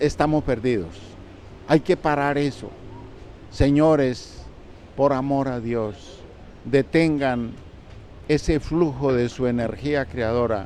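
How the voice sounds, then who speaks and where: Long, frequent pauses break up the very slow delivery, which has ordinary pitch variation. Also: man, medium pitch for a man. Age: 80s+. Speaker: spiritual teacher. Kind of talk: interview. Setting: book fair stand.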